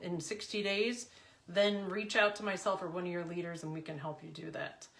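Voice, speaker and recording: Audible room echo surrounds a woman whose medium pitch holds fairly even intonation. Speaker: confidence and business coach. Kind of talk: team coaching talk.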